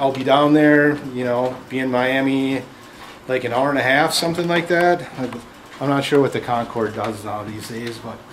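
A man at a moderate pace, with ordinary pitch variation and noticeable background noise. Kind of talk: comedy sketch acting. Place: shop. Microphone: camera far.

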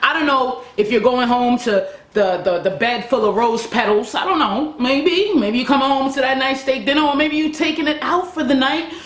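Amid audible room echo, a woman speaks at a moderate pace with a high pitch. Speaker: self-improvement vlogger. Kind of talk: casual vlog chat. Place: home room.

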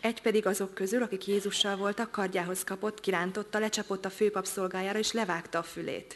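A woman at a medium pitch with a Hungarian accent, very fast and with hardly any pauses, in monotone, flat intonation. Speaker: interpreter. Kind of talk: sermon interpretation; sermon interpretation and scripture reading. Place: church.

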